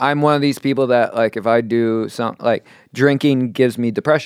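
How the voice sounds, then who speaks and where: A man with a New York accent, medium pitch, fairly even intonation and moderate pace, on a very clean recording with a silent background. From New York, Queens. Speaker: comedian. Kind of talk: casual chat.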